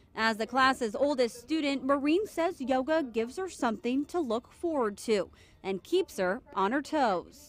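The speaker goes at a fairly slow pace with lively intonation. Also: woman, high pitch for a woman. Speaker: TV news reporter. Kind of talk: TV news report.

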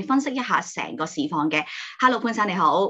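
Against a quiet background, a woman's voice swings very widely in pitch. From Hong Kong. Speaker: channel host. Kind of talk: interview. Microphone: video call.

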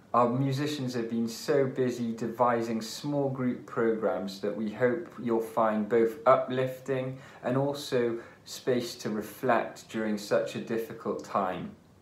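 A man at a fairly slow pace, with ordinary pitch variation and audible room echo. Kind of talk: concert introduction address. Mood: warm, friendly. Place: home room. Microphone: phone near.

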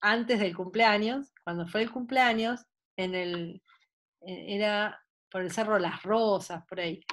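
A woman speaks in a Buenos Aires accent. Her pace is fairly slow. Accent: porteño Argentine Spanish. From Buenos Aires, Argentina; Argentina. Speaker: sports psychologist. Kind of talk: online talk. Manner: animated. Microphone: video call.

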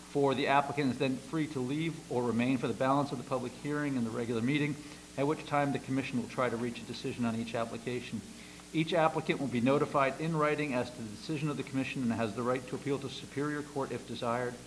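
A man with an American accent speaks at a very fast pace with fairly even intonation over light background noise. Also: medium pitch for a man. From US Northeast. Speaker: planning commission chairman. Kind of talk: public meeting chairing. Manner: formal. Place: meeting room.

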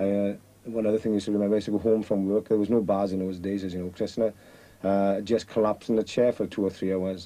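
A man's fairly low, dark, mellow voice with a South Wales accent, monotone and flat, at a very fast pace. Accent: South Wales valleys. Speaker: coal miner. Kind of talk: casual interview. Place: tunnel cave.

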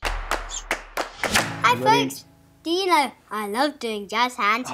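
A female-sounding voice puts on a high-pitched character voice at a very slow pace. Music plays in the background. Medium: comedy sketch. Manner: bubbly, enthusiastic.

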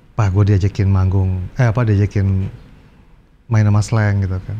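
The voice is somewhat breathy, with a dark, mellow tone, moving at a fairly quick pace over light background noise. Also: man. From Indonesia. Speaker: guitarist and guitar teacher; guitar teacher. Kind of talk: casual interview chat. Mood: relaxed storytelling. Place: studio. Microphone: lapel.

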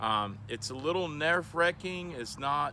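A man's bright, sharp tone carries vocal fry in a dry sound with no echo, with noticeable background noise behind him. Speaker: presenter. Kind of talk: tutorial. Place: open country.

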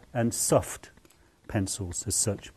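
A man's dark, mellow tone with fairly even intonation. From England. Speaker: artist. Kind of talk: tutorial. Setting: outdoors. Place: hall. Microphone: lapel.

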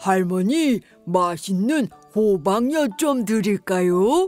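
A woman does a put-on character voice at a medium pitch, speaking very slowly with very wide pitch swings over faint music in the background. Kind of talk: bedtime story for children.

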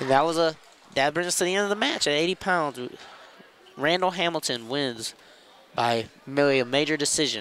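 A man with a fairly high pitch speaks in an upbeat tone, leaving long, frequent pauses over noticeable background noise. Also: ordinary pitch variation. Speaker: wrestling commentator. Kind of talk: live sports commentary on a wrestling match. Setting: gym broadcast with headset, live event. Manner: play-by-play, rapid and descriptive, upbeat.

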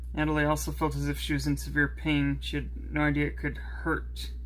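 A man speaks fairly quickly in a very deep, low, somewhat breathy voice. His intonation is monotone and flat. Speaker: story narrator. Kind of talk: reading a story aloud. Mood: subdued, serious. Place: home room.

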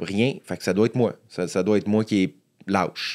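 Speaking at a fairly slow pace with a Quebec accent and ordinary pitch variation, a man is heard over a quiet background. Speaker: stand-up comedian. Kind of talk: casual interview. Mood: earnest, reflective on anxiety. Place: studio. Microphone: studio mic.

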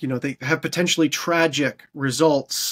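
A man with a Canadian accent talks at a moderate pace over a quiet background. His is an unremarkable speaking voice, fairly high in pitch, with ordinary pitch variation. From Canada. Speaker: podcast host. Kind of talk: interview. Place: home room.

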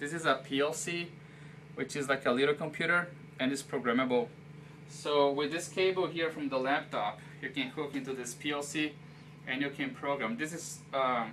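A man talks at a moderate pace. Light background noise is present. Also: fairly even intonation. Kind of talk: casual tour explanation. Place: office. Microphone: camera far.

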